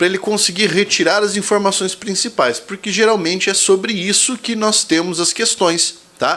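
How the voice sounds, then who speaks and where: His pace is moderate. The man speaks at a high pitch. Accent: Brazilian. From Brazil. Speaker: exam prep teacher. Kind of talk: tutorial. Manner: casual, conversational.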